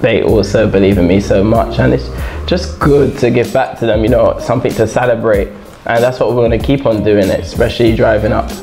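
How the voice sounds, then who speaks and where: A man speaks with clear music in the background. His loudness stays very even. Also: fairly quick pace. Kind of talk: interview answer. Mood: cheerful, smiling. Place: studio. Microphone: lapel.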